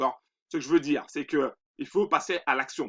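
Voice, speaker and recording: A man speaks with lively intonation. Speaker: finance youtuber promoting trading robot. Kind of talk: promotional explainer video. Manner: hesitant, many fillers.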